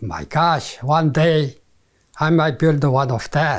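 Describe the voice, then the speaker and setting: With a Korean accent, a man speaks at a fairly slow pace, his fairly high pitch showing ordinary variation. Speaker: retired civil engineer. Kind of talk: interview answer.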